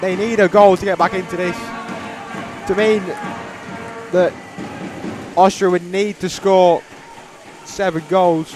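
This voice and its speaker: Over noticeable background noise, the speaker goes at a fairly slow pace with long, frequent pauses. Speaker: co-commentator. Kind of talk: live commentary. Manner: loud, near yelling.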